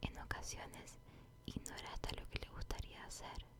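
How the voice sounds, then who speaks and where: A woman whispers in a soothing tone at a fairly slow pace, with noticeable background noise behind her. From Chile. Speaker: ASMR content creator. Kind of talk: book reading, whispered ASMR. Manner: whispered, slow, soothing.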